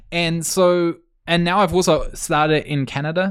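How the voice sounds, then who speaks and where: With a New Zealand accent, a man speaks in fairly even intonation. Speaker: freelancer and no-code builder. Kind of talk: interview.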